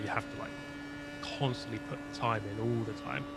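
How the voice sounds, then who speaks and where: With fairly even intonation and a medium pitch, a man speaks at a fairly quick pace amid audible room echo and noticeable background noise. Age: 30s. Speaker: sim racer and YouTuber. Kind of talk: casual chat.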